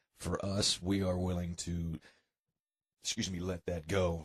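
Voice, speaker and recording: In a dry, close sound with no echo, a man with an American accent speaks at a very deep, low pitch, somewhat breathy and in a monotone, flat intonation. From US Southwest (Tucson, Arizona). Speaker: rockabilly musician. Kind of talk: radio interview. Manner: casual, hesitant with fillers.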